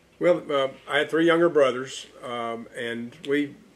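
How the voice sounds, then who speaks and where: This speaker is a man with an East Tennessee accent. His pitch sits in the medium range. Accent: Southern US (East Tennessee). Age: 70s. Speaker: local historian and business owner. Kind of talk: oral history interview. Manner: halting, many fillers and repetitions.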